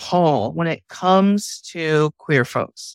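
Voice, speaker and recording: A woman speaks at a very slow pace, with a dry, close sound and no echo. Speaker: pastor. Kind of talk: group conversation. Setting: video call.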